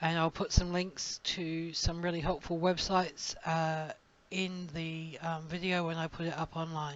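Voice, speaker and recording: A woman with an Australian accent, fairly low in pitch, fairly slow, with flat, monotone intonation. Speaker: crochet designer and teacher. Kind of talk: tutorial. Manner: casual, with fillers and hesitations.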